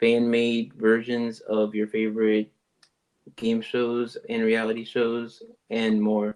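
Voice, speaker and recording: A man's medium-pitched voice at a very slow pace, flat and monotone, with an American accent. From Texas, Houston. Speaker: podcast host. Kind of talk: casual chat. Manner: casual, many fillers.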